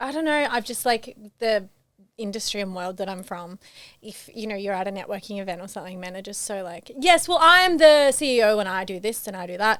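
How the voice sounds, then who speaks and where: Speaking at a fairly quick pace, a woman with a medium pitch uses lively intonation. Her loudness swings widely. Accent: Australian. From Queensland, Australia. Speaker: reality TV participant. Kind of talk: podcast interview. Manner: hesitant.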